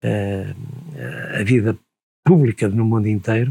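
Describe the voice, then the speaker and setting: The sound is dry and close with no echo. A man with a somewhat breathy, medium-pitched voice talks at a moderate pace. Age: 70s. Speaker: retired university professor. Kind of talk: interview conversation.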